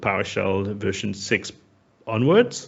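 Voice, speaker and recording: Very slowly, a man talks at a fairly low pitch. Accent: French. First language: French. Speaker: software community expert. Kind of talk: technical talk.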